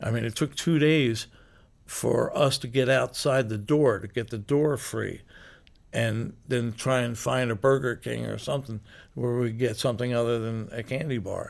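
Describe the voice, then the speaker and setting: With an American accent, a man speaks at a moderate pace and medium pitch in an unremarkable speaking voice. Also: very clean recording, silent background. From Philadelphia, US. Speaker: rock musician. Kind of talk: interview. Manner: laughs often.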